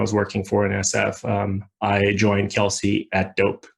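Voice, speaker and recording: A man with a Portuguese accent speaks in a fairly low, somewhat breathy voice. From Brazil. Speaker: ecommerce company co-founder executive.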